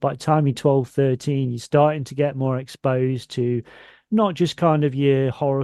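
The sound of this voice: With a dark, mellow tone, a man talks at a moderate pace and medium pitch, his intonation fairly even and the sound dry and close with no echo.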